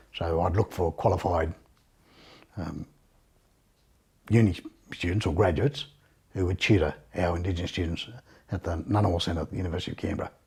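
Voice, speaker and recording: A man's very deep, low voice, somewhat breathy, very fast yet broken by long, frequent pauses, with fairly even intonation. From Australia, Condobolin, New South Wales. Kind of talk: interview testimony. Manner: hesitant, many fillers.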